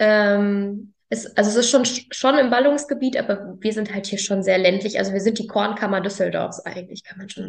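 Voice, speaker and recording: Using a plain, everyday voice, a woman speaks at a medium pitch with fairly even intonation. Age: 20s. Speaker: farmer. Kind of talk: casual chat.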